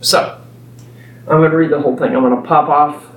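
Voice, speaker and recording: A man's fairly high voice with an American accent and ordinary pitch variation, amid audible room echo and noticeable background noise. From Texas. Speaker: preacher. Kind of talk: sermon. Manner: halting.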